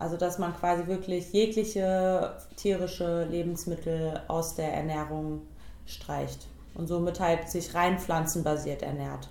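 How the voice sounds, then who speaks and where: In audible room echo, a woman speaks in a monotone, flat way at a fairly slow pace, her fairly low voice dark and mellow in tone. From Hesse, Germany (Biedenkopf area). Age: 30s. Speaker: vegan nutrition consultant. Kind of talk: casual interview.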